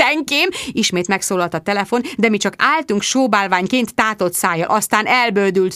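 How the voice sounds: Here is a natural reading voice. The pitch varies in an ordinary way.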